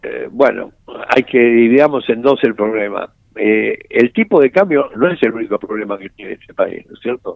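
With loudness that rises and falls sharply, a man talks at a moderate pace. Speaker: economist. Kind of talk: interview.

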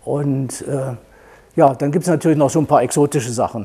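A man with a dark, mellow tone, somewhat breathy, at a medium pitch and a moderate pace. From Thuringia, Germany. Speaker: doctor, clinic founder. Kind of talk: panel discussion. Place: office. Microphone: lapel.

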